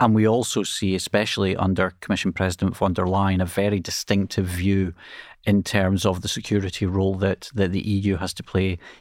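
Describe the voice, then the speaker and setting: On a very clean recording with a silent background, a man with a Scottish accent speaks in a very deep, low pitch with monotone, flat intonation. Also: fairly quick pace. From Scotland. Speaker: international relations professor, former MP. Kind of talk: podcast interview.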